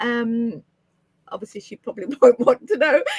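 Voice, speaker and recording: Speech comes at a fairly quick pace with lively intonation, recorded with a dry, close sound and no echo. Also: woman. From Uganda. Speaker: podcast host. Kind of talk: podcast interview.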